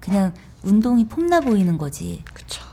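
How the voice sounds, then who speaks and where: The woman's tone is dark and mellow, somewhat breathy. She speaks at a fairly slow pace. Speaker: lawyer and author. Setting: studio.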